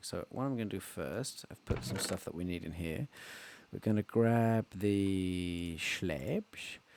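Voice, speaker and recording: The speaker is a man with an English accent. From England. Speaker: Minecraft let's player. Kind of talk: casual gameplay commentary.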